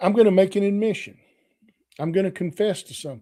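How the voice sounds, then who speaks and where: A man is speaking. His voice is high in pitch. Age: 60s. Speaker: Bible study podcast host. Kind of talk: bible study teaching. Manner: conversational.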